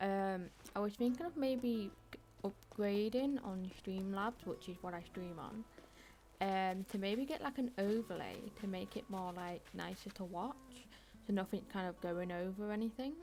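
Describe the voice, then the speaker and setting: At a fairly slow pace, a woman speaks in a normal speaking voice at medium pitch with ordinary pitch variation. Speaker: video game streamer. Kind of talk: casual chat while gaming on live stream.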